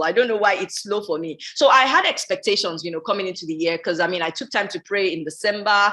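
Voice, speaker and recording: A woman talks at a very fast pace with lively intonation. Her medium-pitched voice has a bright, sharp tone. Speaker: life coach and YouTube host. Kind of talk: live stream motivational talk.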